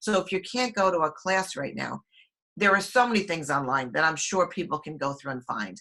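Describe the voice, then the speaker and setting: A woman's fairly low, bright and sharp voice with vocal fry, very wide pitch swings and a fairly quick pace. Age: 60s. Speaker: health products distributor. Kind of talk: online webinar talk.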